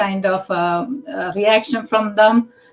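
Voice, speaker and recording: A woman with an Indian accent speaks fairly slowly at a medium pitch and with fairly even intonation, noticeable background noise behind her. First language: Indian language, not English. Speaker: task force member. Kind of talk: public meeting discussion. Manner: halting, many fillers.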